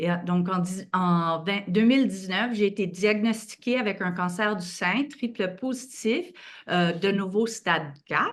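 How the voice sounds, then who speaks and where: A moderate pace in a Quebec accent over a quiet background. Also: woman, medium pitch for a woman, ordinary pitch variation. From Quebec, Montreal. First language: French. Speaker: patient advocate and co-chair. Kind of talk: event moderation.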